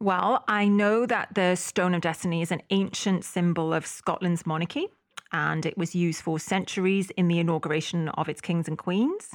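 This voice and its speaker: Recorded very cleanly over a silent background, a woman with a Welsh accent speaks at a moderate pace, fairly low in pitch with fairly even intonation. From Wales. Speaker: podcast co-host. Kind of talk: casual chat.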